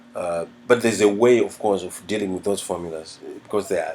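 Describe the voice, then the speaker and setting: Over noticeable background noise, a man speaks fairly quickly at a fairly low pitch, with ordinary pitch variation. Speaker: music teacher. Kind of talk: tutorial. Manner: halting.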